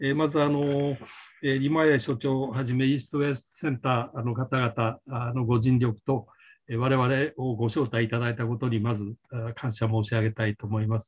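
A man speaks at a very fast pace with fairly even intonation and a somewhat breathy sound. The background is quiet. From Japan. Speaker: policy council chair. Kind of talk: panel presentation. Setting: video call. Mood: formal, polite, measured. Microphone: video call.

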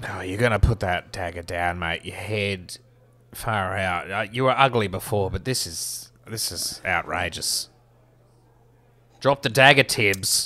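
Raspy and fairly low, a man's put-on character voice moves at a fairly slow pace. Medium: actual play. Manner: exasperated, swearing, blunt.

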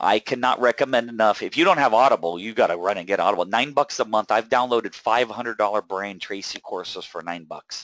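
A man with an ordinary speaking voice talks at a fairly quick pace and medium pitch, with ordinary pitch variation, in a dry, close sound with no echo. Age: 40s. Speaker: wealth coach hosting a webinar. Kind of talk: webinar presentation. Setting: online webinar with screen share.

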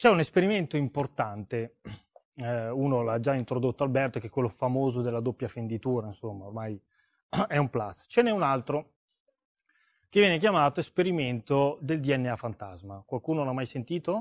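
Against a quiet background, a man at a medium pitch talks at a moderate pace with lively intonation and long, frequent pauses. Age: 40s. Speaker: seminar speaker; speaker. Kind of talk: seminar talk. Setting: stage with audience. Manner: animated. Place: hall. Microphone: lapel.

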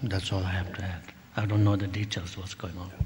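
Low-pitched and slightly mellow, a man's voice shows little pitch movement.

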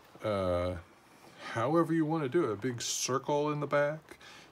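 With lively intonation, this man talks at a moderate pace. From California. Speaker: art teacher. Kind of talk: tutorial. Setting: home garage. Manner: casual, friendly.

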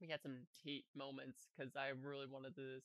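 A man speaks at a moderate pace in a bright, sharp tone, with a quiet background and a dry sound that has no echo. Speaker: reaction youtuber. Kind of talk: casual vlog chat. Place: home room. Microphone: headset.

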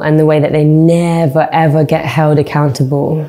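At a fairly slow pace, a woman speaks in a very deep, low pitch with a dark, mellow tone. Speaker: singer. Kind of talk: interview answer. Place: studio.

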